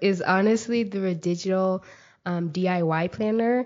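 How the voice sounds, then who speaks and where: At a moderate pace and medium pitch, a woman speaks in an ordinary speaking voice with fairly even intonation. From Texas, Mesquite. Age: young. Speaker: university student. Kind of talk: interview. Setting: podcast.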